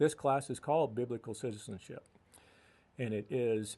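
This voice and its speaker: The voice has a dark, mellow tone and an American accent, moving at a fairly slow pace with fairly even intonation. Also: man. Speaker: radio guest, committee member and teacher of a US Constitution class. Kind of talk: radio studio interview answer.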